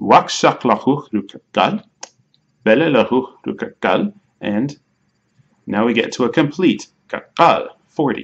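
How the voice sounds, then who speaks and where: A man with an American accent talks at a fairly high pitch with very wide pitch swings. His pace is fairly slow, with long, frequent pauses. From United States. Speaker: language learner teaching a Mayan language. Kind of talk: tutorial. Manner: halting, self-correcting.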